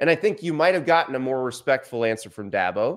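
In a quiet setting, a man talks with very wide swings in pitch. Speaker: sports commentator. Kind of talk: commentary. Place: studio.

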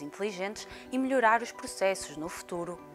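Music plays in the background. The speaker has lively intonation and a moderate pace. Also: woman. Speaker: news narrator. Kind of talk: news report voiceover. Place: studio. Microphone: lapel.

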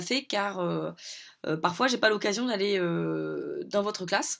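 A woman speaks fairly slowly with a quiet background behind her. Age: 30s. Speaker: educational program coordinator. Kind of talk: video message to schoolchildren. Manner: halting, many hesitations. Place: home room. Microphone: phone near.

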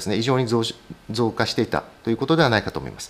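There is vocal fry in this man's voice. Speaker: hematologist. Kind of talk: medical lecture. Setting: online webinar. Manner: frequent fillers and hedges.

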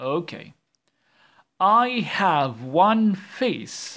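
A man's bright, sharp voice with very wide pitch swings, on a very clean recording with a silent background. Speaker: primary school English teacher. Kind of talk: tutorial. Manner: animated.

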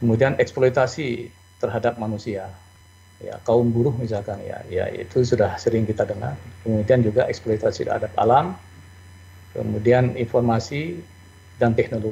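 Somewhat breathy and dark, mellow in tone, a man speaks at medium pitch with ordinary pitch variation. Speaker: accounting professor. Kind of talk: lecture. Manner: fast.

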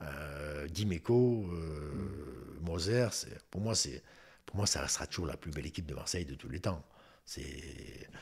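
Against a quiet background, a man with a very deep, low pitch and vocal fry speaks at a very slow pace. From Moselle, France. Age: 60s. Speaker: retired footballer; guest. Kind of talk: interview. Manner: halting, many repetitions. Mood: relaxed, reminiscing. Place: home room. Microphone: studio mic.

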